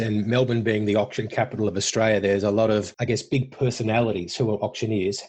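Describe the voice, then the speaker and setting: Somewhat breathy and medium in pitch, a man rushes along at a very fast pace. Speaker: podcast host, business coach. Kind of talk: podcast interview questions.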